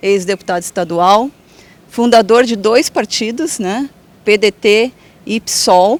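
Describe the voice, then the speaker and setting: Long, frequent pauses break up a woman's speech at a fairly high pitch with ordinary pitch variation. The sound is dry and close, with no echo. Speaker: interviewer. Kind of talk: live interview hosting.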